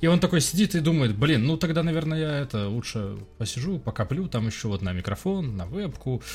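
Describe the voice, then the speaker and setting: Speaking at a fairly quick pace, a man with a fairly high, somewhat breathy voice makes very wide pitch swings. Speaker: podcast host. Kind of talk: casual chat. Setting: video call.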